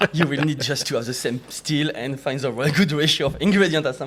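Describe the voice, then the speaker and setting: With a French accent, a man talks at a very fast pace in a fairly high pitch, using ordinary pitch variation. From France, near Chartreuse area. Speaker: distiller. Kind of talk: casual chat. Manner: halting.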